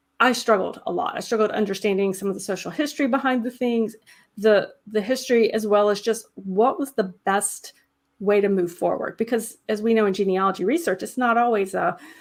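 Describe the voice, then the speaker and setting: A woman with a Southern US accent talks at a fairly quick pace. Her pitch is fairly high, with ordinary pitch variation. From US South. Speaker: genealogy channel host. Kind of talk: live stream interview. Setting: live stream. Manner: casual, many fillers.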